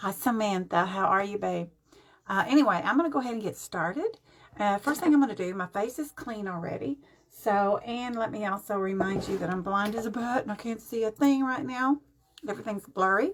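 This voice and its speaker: A woman's fairly high voice with lively intonation and a fairly quick pace, over noticeable background noise. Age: 70s. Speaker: makeup vlogger. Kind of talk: live-stream makeup tutorial. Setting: live stream at home. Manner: casual, chatty.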